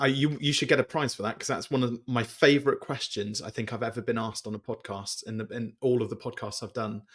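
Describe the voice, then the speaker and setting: A man with a British accent at medium pitch, very fast with hardly any pauses, fairly even in intonation, on a very clean recording with a silent background. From Britain. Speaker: business coach and author. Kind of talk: podcast interview.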